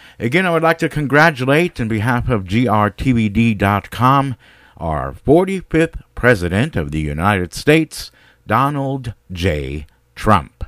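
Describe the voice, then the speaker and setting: On a very clean recording with a silent background and a dry, close sound with no echo, a man with an upbeat tone speaks at a very slow pace and medium pitch, his pitch swinging very widely. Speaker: radio host. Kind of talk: radio DJ patter, bilingual English and German station IDs and show announcements. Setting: internet radio studio, streaming live. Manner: brisk, upbeat, polished broadcaster delivery, repeats schedule and website.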